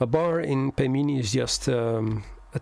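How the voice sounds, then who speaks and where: Against noticeable background noise, a man with a Dutch accent speaks at a very slow pace. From Netherlands. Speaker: software developer. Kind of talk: tutorial. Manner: hesitant, many fillers.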